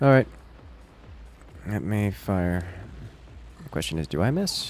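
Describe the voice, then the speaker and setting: A man speaks at a fairly low pitch and a fairly slow pace, his voice making very wide pitch swings. Music plays in the background. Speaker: gaming livestreamer. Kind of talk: live gameplay commentary.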